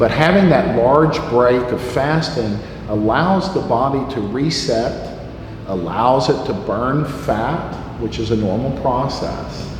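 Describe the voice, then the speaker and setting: Speaking at a very slow pace, a man with a medium-pitched voice uses lively intonation amid audible room echo and noticeable background noise. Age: 60s. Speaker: health educator. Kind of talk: educational talk. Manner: halting with frequent fillers.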